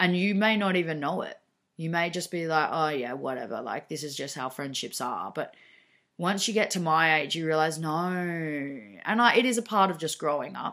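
A woman with an Australian accent speaks at a moderate pace in a bright, sharp, fairly low voice with lively intonation, in a very clean recording with a silent background. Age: 20s. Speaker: podcast host. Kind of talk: casual monologue. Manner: animated.

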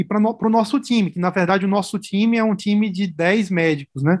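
A man speaks with a high-pitched voice. His intonation stays fairly even. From Brazilian Northeast, Natal (Rio Grande do Norte). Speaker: medical resident in oncology. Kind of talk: casual interview.

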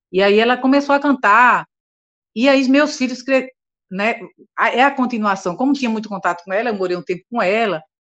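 The speech runs at a fairly quick pace but is broken by long, frequent pauses. Pitch varies in an ordinary way, and the background is quiet. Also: woman, fairly high pitch for a woman. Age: 60s. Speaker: singer. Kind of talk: interview.

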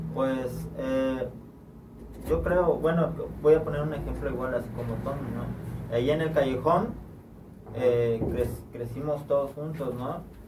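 A man talks very slowly at medium pitch, with fairly even intonation and long, frequent pauses. Audible room echo and noticeable background noise fill the recording. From Juchitán, Oaxaca, Mexico. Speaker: rapper. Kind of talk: casual chat. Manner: halting.

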